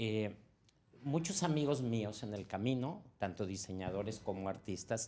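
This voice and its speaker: A man with a plain, everyday voice and a fairly low pitch speaks at a fairly slow pace, using lively intonation. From Mexico, Veracruz (Xalapa). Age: 60s. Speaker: audience member, designer. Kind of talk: audience question. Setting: live event with audience, microphone passed.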